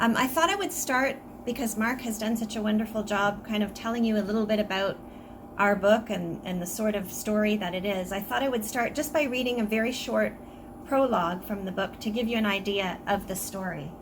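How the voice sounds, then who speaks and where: In an audible room echo, a soft-spoken woman with a Canadian accent talks at a fairly high pitch with ordinary pitch variation. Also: fairly quick pace. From Canada. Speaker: author. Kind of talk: book talk presentation.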